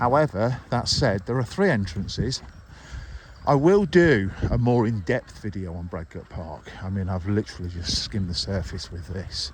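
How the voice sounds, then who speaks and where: A man speaks at a moderate pace with lively intonation and a fairly low pitch, using a normal speaking voice. His loudness swings widely. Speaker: dog walker vlogger. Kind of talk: walking vlog narration. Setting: outdoors.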